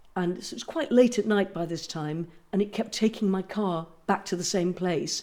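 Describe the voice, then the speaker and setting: A woman speaks in an English accent at a moderate pace. Her tone is dark and mellow. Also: medium pitch for a woman, ordinary pitch variation. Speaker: actress. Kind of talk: casual chat.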